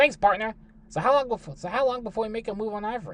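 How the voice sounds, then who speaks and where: A put-on character voice rattles along at a very fast pace in a fairly high pitch. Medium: read story. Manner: eager, folksy, stumbling.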